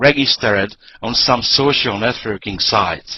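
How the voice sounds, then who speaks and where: A man speaks at a fairly slow pace with a non-native accent. His pitch sits in the medium range. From Hungary. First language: Hungarian. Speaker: network marketing presenter. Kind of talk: sales pitch. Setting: online conference call.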